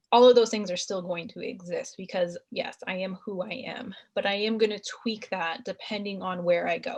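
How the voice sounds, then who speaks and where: A woman's somewhat breathy voice at a medium pitch, with fairly even intonation. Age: 30s. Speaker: marriage and family therapist. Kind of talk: career talk Q&A with youth.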